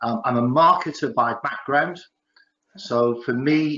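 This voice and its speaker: An English accent comes through. The voice rises and falls in a normal way. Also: man. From northeast England, Newcastle. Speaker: business chairman, entrepreneur. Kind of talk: panel interview.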